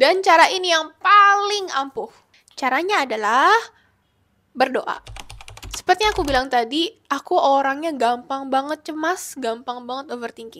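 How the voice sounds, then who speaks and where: A woman's high-pitched, raised and projected voice, bright and sharp in tone, with lively intonation at a moderate pace. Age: 20s. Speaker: lifestyle vlogger. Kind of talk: self-help vlog talk to camera.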